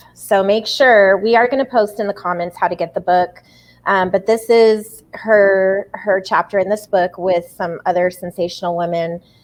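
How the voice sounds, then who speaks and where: At a moderate pace, a woman talks in an ordinary speaking voice at medium pitch with fairly even intonation. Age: 40s. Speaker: community group host. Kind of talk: interview.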